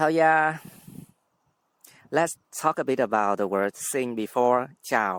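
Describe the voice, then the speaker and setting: Spoken with a Vietnamese accent at a very slow pace, the voice has lively intonation broken by long, frequent pauses. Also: man, medium pitch for a man. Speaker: language teacher. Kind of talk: tutorial.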